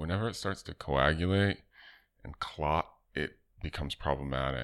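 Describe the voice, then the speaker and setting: On a very clean recording with a silent background, a man talks at a moderate pace in a very deep, low pitch, with lively intonation and vocal fry. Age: 40s. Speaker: artist and designer. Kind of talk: casual interview.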